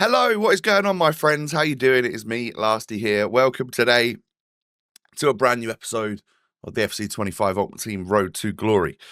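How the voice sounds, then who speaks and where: A man with a British accent speaks in a bright, sharp tone at a medium pitch, his intonation lively, on a very clean recording with a silent background. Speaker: gaming YouTuber. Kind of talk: casual gameplay commentary. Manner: toned down, calmer delivery.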